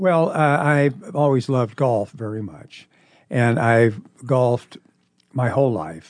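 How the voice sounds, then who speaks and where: A medium-pitched man with a Midwestern American accent at a fairly slow pace. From Nebraska, Omaha. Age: 70s. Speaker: retired lawyer and volunteer reader. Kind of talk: interview. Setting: studio.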